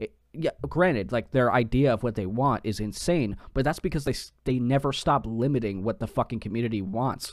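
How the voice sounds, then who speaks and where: A man's medium-pitched voice, an ordinary speaking voice with ordinary pitch variation, at a fairly quick pace with hardly any pauses, on a very clean recording with a silent background. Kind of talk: casual chat. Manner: profane, joking.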